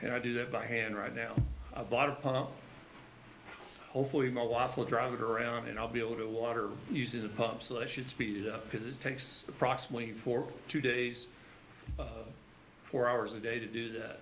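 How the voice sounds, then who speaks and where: Amid audible room echo, a man talks at a fairly quick pace in a monotone, flat way, with long, frequent pauses. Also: medium pitch for a man. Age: 60s. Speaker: community volunteer. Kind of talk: public comment at a county meeting. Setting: county commission meeting. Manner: halting, many fillers.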